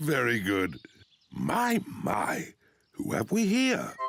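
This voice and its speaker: A cartoonish character voice speaks at a very slow pace over faint music in the background. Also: man, fairly high pitch for a man. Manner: jovial, chuckling.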